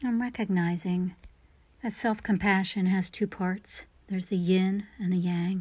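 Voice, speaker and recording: Recorded very cleanly against a silent background, a woman with a medium pitch speaks in a gentle, calm tone, somewhat breathy, with fairly even intonation. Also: fairly slow pace. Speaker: meditation guide. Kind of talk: guided meditation. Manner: slow, calm, soothing; gentle, soft-spoken, with long pauses.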